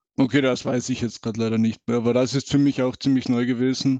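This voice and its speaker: At medium pitch, a man speaks in a dark, mellow tone. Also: dry, close sound with no echo. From Austria. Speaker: gamer guest. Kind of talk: casual chat.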